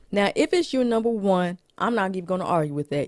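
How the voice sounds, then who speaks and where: Dry and close with no echo, this very clean recording with a silent background features a woman speaking in a fairly low pitch with an animated tone. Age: 30s. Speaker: movie reviewer vlogger. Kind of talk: casual movie ranking monologue.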